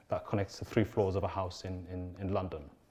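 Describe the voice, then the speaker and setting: The voice has a dark, mellow tone, is somewhat breathy, and moves at a fairly quick pace. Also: man. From Somalia. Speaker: architect and educator. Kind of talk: panel presentation. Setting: conference stage with audience.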